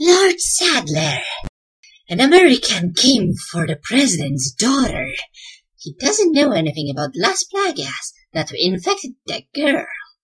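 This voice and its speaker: A man's put-on character voice, extremely high-pitched and menacing in tone, at a fairly slow pace with very wide pitch swings. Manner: menacing, villainous.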